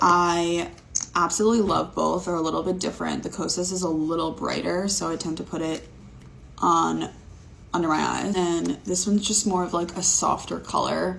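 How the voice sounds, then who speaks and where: Audible room echo hangs around a woman who talks at a moderate speed. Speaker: beauty content creator. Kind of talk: makeup tutorial vlog. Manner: monotone; casual, filler-heavy.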